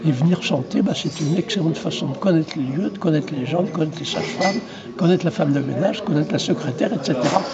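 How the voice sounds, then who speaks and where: A man's high-pitched, fairly quick voice, with room echo and noticeable background noise. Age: 80s+. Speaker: retired obstetrician. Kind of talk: interview. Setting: trade fair.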